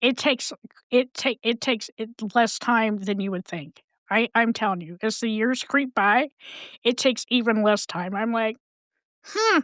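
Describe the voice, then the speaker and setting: A woman's fairly high voice at a moderate pace, with long, frequent pauses, ordinary pitch variation, and a dry, close sound with no echo. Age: 60s. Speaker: mental health advocate and podcast guest. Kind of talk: casual chat. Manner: animated.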